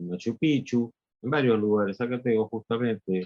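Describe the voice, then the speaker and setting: At a fairly slow pace, a man is talking. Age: 60s. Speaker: spiritual teacher and artist. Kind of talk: interview. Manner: halting.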